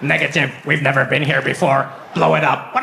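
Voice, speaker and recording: A man's put-on character voice at medium pitch and a fairly quick pace, over clear background noise. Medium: stage play. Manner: sci-fi military commands.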